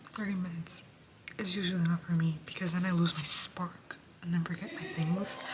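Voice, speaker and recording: A woman's medium-pitched, monotone voice with flat intonation at a moderate pace, over noticeable background noise. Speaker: vlogger, university intern. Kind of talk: casual vlog. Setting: walking indoors at workplace. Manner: soft-spoken.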